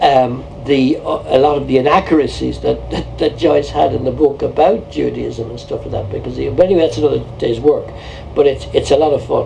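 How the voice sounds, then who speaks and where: A man talks with a Dublin accent. Noticeable background noise sits behind him. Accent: Dublin Irish. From Ireland, Dublin. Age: 60s. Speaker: painter. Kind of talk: documentary interview.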